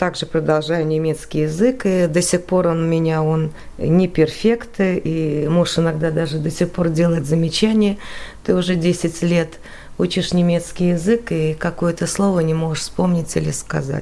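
Fairly low in pitch, a woman talks at a moderate pace in a plain, everyday voice with fairly even intonation. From Latvia, Riga. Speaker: emigrant interviewee. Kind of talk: radio interview.

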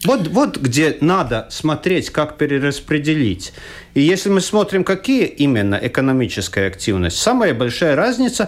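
Vocal fry runs through a man's fairly high voice as he speaks at a moderate pace with very wide pitch swings. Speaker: economist, former finance minister. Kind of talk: radio panel discussion. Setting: radio studio. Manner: halting.

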